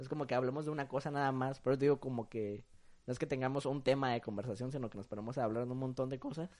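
A man at medium pitch talks at a very fast pace with fairly even intonation. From Acapulco, Guerrero, Mexico. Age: young. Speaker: university student. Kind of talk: casual chat.

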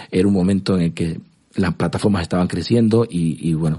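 A man with a very deep, low pitch and a dark, mellow tone, at a moderate pace with ordinary pitch variation. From Cuba. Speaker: music industry executive. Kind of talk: interview. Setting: studio. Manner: halting, many repetitions.

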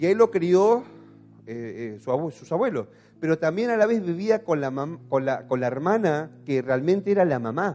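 A man with an Argentine accent, high pitch, very wide pitch swings, a dark, mellow tone and a moderate pace. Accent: Argentine Spanish (voseo). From Argentina, Patagonia (Caleta Olivia). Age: 40s. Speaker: pastor. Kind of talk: sermon. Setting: church.

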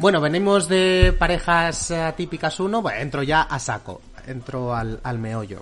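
A man with a Spanish accent and a fairly high voice speaks at a fairly slow pace with lively intonation. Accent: Peninsular Spanish. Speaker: film podcast host. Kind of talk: casual chat.

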